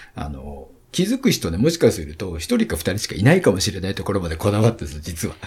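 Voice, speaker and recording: A man talks very fast with hardly any pauses, his pitch very deep and low and his voice somewhat breathy. His intonation is lively, and his loudness swings widely. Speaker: event company CEO. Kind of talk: interview.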